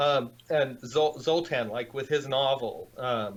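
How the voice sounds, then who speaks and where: With an American accent, a man speaks fairly slowly at medium pitch and with fairly even intonation. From United States. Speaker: transhumanist writer and startup founder. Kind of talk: interview. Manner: halting, many fillers.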